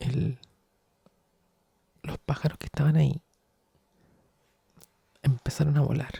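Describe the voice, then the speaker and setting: A man speaks with vocal fry, a dark, mellow tone and a fairly high pitch, in a monotone, flat delivery at a fairly slow pace. Long pauses come often, and the sound is dry and close with no echo. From Chile. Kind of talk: ASMR soft-spoken storytelling. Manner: soft-spoken.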